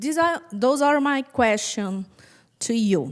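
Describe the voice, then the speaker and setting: On a very clean recording with a silent background, a woman with a Brazilian Portuguese accent speaks at a high pitch with lively intonation. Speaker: physician researcher. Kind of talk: conference talk.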